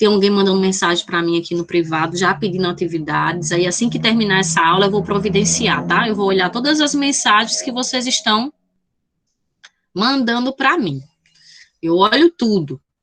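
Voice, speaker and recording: With an unremarkable speaking voice, a woman talks at a moderate pace and a medium pitch. Her intonation is lively. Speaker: math teacher. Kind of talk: online lecture. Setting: video call.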